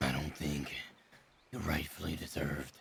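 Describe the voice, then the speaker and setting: A man growls in a put-on character voice. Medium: game stream. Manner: blunt, frank.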